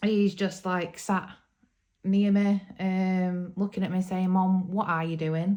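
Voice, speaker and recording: On a very clean recording with a silent background, a woman with a Yorkshire accent speaks at a fairly slow pace and a medium pitch. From Yorkshire, England. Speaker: hobby YouTuber, adult colourist. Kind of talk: casual vlog talk to camera. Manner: hesitant, many ums.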